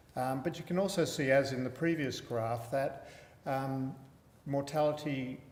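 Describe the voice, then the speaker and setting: There is audible room echo around a man's fairly high voice. He speaks at a fairly slow pace with fairly even intonation. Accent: Australian. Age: 60s. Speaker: palliative care physician. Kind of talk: lecture.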